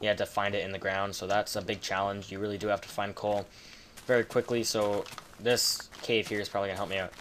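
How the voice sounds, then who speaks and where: A man talks at a very fast pace in a fairly low pitch with monotone, flat intonation, and noticeable background noise can be heard. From Canada. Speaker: gaming commentator. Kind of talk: gameplay commentary. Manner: casual, filler-heavy.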